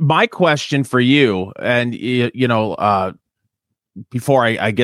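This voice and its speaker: A man with a Michigan accent at a medium pitch, with ordinary pitch variation and a fairly slow pace, in a dry, close sound with no echo. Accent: Michigan accent, Canadian-like. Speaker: podcast co-host and radio host. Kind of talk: casual chat. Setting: in his garage.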